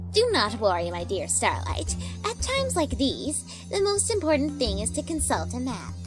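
A put-on character voice at a moderate pace, with loud music in the background. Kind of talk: comedy dub. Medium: dub.

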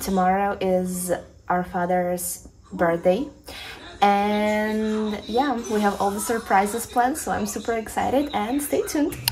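Noticeable background noise sits under a woman speaking at a fairly slow pace. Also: ordinary pitch variation. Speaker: vlogger. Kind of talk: casual vlog chat. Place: home room. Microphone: phone near.

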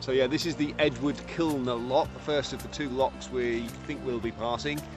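Dry male speech with no echo and ordinary pitch variation, with clear music in the background. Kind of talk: casual vlog chat. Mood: cheerful, relaxed. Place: waterside. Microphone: camera far.

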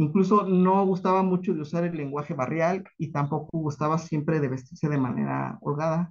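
A man with an unremarkable speaking voice talks at a moderate pace with hardly any pauses. His intonation is fairly even, over a quiet background. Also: fairly high pitch for a man. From Mexico, Michoacán (Paracho); Michoacán, Mexico. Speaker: academic researcher; conference presenter. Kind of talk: conference talk. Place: home room. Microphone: video call.

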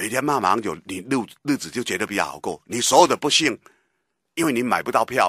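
A man with vocal fry and a bright, sharp tone speaks at a fairly quick pace with lively intonation and big swings in loudness, in a dry recording with no echo and a quiet background. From Taiwan. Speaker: radio political commentator. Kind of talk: talk radio commentary. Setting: radio studio. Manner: animated, emphatic. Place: studio.

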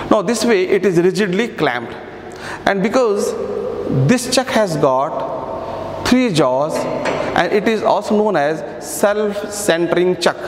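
Amid light background noise and audible room echo, a man speaks at a very slow pace in a high pitch. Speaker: workshop instructor. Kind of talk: tutorial. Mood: calm, instructive. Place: workshop.

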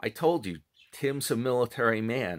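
With a quiet background, a man is heard talking. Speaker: commentary vlogger. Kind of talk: casual vlog commentary. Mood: amused, mocking. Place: home room. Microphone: phone near.

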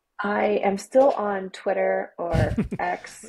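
Using a put-on character voice, a woman speaks very slowly in a raspy tone at a medium pitch. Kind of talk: interview answer. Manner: sighing. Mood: friendly, smiling.

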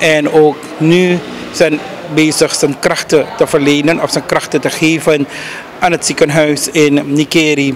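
The speech comes at a fairly slow pace in a monotone with flat intonation, over light background noise. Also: man, fairly high pitch for a man. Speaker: news reporter. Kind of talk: news report. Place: street. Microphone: handheld.

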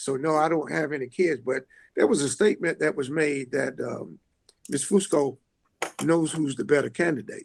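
Using a normal speaking voice, a man speaks fairly high with ordinary pitch variation at a moderate pace. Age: 60s. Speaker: school board candidate. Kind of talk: interview. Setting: video call.

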